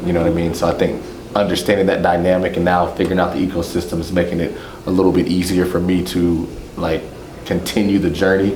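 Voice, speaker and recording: A man with an American accent at a very deep, low pitch, monotone and flat, at a very fast pace, amid noticeable background noise and audible room echo. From Texas, San Antonio. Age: 40s. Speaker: former pro basketball player. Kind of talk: casual group introduction.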